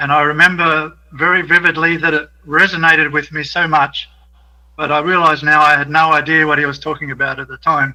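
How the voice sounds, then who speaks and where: In an Australian accent, a man talks at a fairly quick pace with a bright, sharp tone, a fairly high pitch and monotone, flat intonation. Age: 60s. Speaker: caller. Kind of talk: call-in comment.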